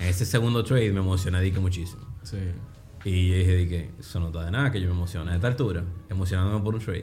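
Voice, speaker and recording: Very fast and fairly even in intonation, a man with a very deep, low pitch speaks amid audible room echo. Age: 30s. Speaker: trader. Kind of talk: interview.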